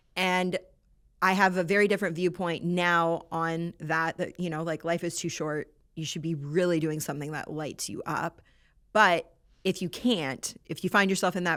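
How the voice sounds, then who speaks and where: This woman has a normal speaking voice, fairly low in pitch, with fairly even intonation and big swings in loudness at a moderate pace. The recording is very clean with a silent background. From Canada. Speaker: entrepreneur and nonprofit founder. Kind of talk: podcast interview.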